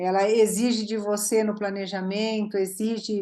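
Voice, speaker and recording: Her medium-pitched voice has a dark, mellow tone, and this woman speaks at a fairly slow pace with monotone, flat intonation. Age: 50s. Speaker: dental photography teacher. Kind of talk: casual chat.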